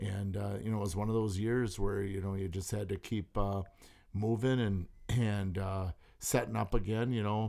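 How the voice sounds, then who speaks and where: A man with an American accent has an ordinary speaking voice, pitched fairly low, at a moderate pace. His intonation is fairly even, and the recording is very clean with a silent background. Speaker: sturgeon spearing hunter. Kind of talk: casual chat. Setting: studio.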